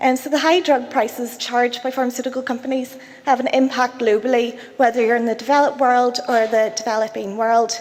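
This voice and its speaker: A woman with a Belfast accent talks at a fairly quick pace with hardly any pauses, her high voice set in a monotone, flat intonation over noticeable background noise. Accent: Belfast, Northern Irish. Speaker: cancer researcher. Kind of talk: conference talk.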